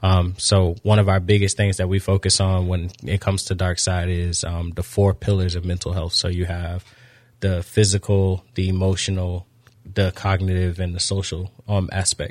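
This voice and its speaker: Somewhat breathy and very deep, a man's voice moves at a moderate pace in a flat monotone, with a dry, close sound and no echo. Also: very clean recording, silent background. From Florida (Daytona). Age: 30s. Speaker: youth football coach and nonprofit founder. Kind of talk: radio interview.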